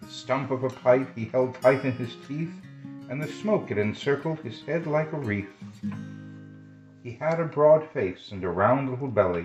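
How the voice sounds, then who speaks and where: Over music in the background, a man talks at a fairly slow pace in a medium pitch with a gentle tone and very wide pitch swings. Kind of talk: poetry reading. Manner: gentle, kind.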